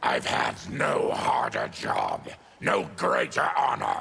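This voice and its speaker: Through clear background noise, a man in a put-on character voice growls at a very slow pace and an extremely high pitch. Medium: video game. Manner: stern, menacing.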